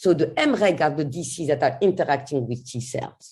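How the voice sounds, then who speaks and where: A woman's dark, mellow, somewhat breathy voice with very wide pitch swings, at a fairly slow pace against a quiet background. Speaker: cancer immunology researcher. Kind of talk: scientific lecture. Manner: halting.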